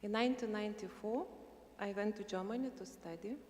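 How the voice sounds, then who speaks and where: A woman's medium-pitched voice with a Lithuanian accent and ordinary pitch variation. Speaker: university administrator, invited speaker. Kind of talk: prepared speech read aloud. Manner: halting.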